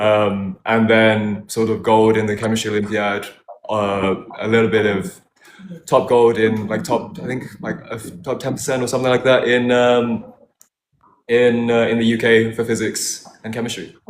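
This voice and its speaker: Fairly even in intonation, a man's medium-pitched voice moves at a fairly slow pace. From United Kingdom. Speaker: former competition show contestant. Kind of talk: casual chat. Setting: live stream. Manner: halting.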